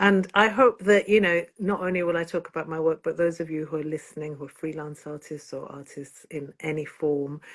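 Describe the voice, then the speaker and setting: Fairly quick speech in a Yorkshire accent, fairly even in intonation, with big swings in loudness over a quiet background. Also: woman. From northern England, Bradford. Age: 60s. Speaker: singer-songwriter. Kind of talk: interview.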